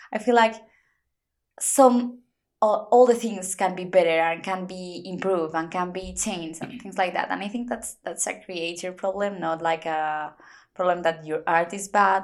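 A woman at a medium pitch with a Spanish accent, ordinary pitch variation and a moderate pace. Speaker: podcast host. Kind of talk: casual chat; podcast intro.

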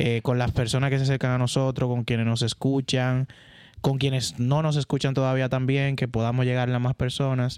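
A man with a Dominican accent speaks at a medium pitch. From Dominican Republic, San Juan de la Maguana. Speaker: tech podcast co-host, IT and telecom professional. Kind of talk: casual chat.

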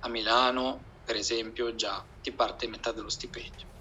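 A man's voice over noticeable background noise. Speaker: PhD student. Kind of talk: casual chat.

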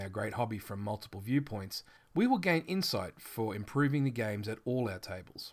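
A man speaks in an Australian accent at a medium pitch. His pace is fairly quick and his intonation lively. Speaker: tabletop RPG game manager and podcaster. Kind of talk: scripted-style podcast intro monologue. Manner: self-deprecating, casual, chatty.

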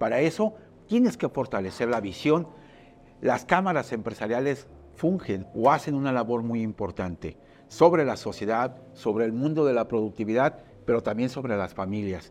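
This is a man with an ordinary speaking voice at medium pitch. He talks at a moderate pace with lively intonation. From Mexico, Puerto Vallarta (Jalisco). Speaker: business chamber director. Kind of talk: monologue presentation.

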